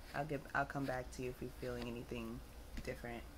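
Noticeable background noise sits behind the recording. A woman talks at a fairly quick pace. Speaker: vlogger. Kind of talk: casual vlog chat. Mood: relaxed, slightly dazed, giggly. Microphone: phone near.

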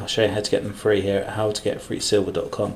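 A man's fairly low-pitched voice over light background noise. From UK. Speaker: coin collector demonstrating cleaning. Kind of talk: tutorial. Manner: self-deprecating, casual, hesitant with many fillers. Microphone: phone near.

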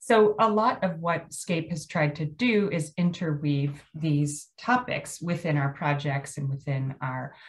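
In an American accent, the speaker goes at a very slow pace with hardly any pauses, a somewhat breathy voice and ordinary pitch variation. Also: woman, quiet background. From US Mid-Atlantic (Maryland). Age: 50. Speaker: landscape architect presenter. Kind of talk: lecture. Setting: video call. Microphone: video call.

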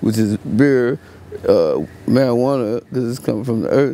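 The voice has an American accent and a moderate pace. The sound is dry with no echo. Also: man. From Fort Worth, Texas. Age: 30s. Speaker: homeless man interviewed on street. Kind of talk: street interview. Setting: outdoors. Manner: halting; laid-back. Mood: relaxed storytelling. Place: street.

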